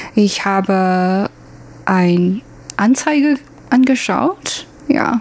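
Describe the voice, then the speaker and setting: Medium-pitched woman's voice with a Chinese accent over noticeable background noise. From Taiwan. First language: Mandarin (speaking German). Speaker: former working holiday traveller. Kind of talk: interview. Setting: studio. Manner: halting, many fillers.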